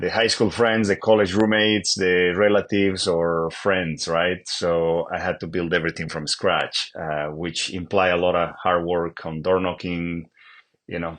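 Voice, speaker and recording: A very deep, low-pitched man with a Bolivian accent and fairly even intonation. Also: fairly slow pace. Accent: Bolivian Spanish accent, noticeable. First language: Spanish. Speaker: real estate agent. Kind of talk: interview. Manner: halting, many fillers and repeats.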